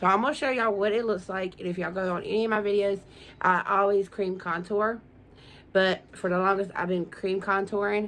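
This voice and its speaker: This woman's pitch is medium. She talks fairly quickly. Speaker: beauty vlogger. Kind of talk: makeup tutorial. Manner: fast; animated.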